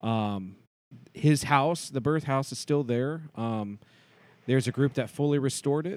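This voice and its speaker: This speaker is a man with a Midwestern American accent. He talks at a fairly slow pace. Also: medium pitch for a man, ordinary pitch variation. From US Midwest, Cincinnati. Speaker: actor and theatre producer. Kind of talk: interview.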